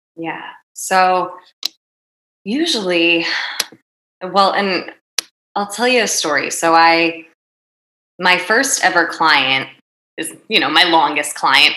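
With a New Jersey accent, a woman of fairly low pitch speaks very slowly in a bright, sharp tone, leaving long, frequent pauses, with audible room echo. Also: ordinary pitch variation. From North Jersey, US. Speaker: happiness coach. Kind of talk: casual interview.

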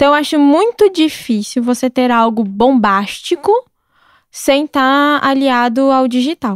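With a high pitch and lively intonation, a woman talks at a fairly slow pace in very even loudness, the sound dry and close with no echo. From southern Brazil, Curitiba. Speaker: chef and gastronomy content creator. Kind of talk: casual interview chat.

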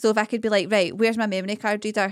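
A woman with a Scottish accent speaks in a fairly high pitch with monotone, flat intonation. The recording is very clean, with a silent background and a dry, close sound with no echo. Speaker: podcast co-host. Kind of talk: casual chat.

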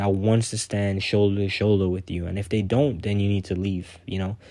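A man talking at a fairly quick clip, fairly even intonation, on a very clean recording with a silent background. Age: 20s. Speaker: podcaster. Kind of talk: casual monologue. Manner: halting.

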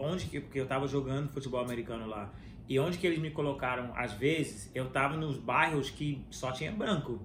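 Audible room echo and noticeable background noise fill the clip. A man talks at a fairly quick pace. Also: medium pitch for a man, ordinary pitch variation. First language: English (speaking Portuguese). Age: 30s. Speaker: podcast host. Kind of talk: casual chat.

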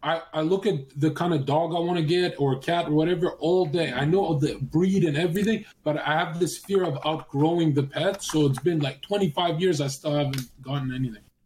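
Over noticeable background noise, a man with a fairly high voice speaks at a moderate pace with ordinary pitch movement and hardly any pauses. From Canada, Vancouver. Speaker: streamer. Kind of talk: casual chat.

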